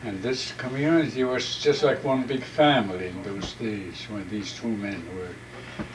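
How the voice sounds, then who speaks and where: Noticeable background noise runs through the clip. The man's pitch is medium, with ordinary pitch variation. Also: hardly any pauses. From Alaska. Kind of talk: oral history interview answer.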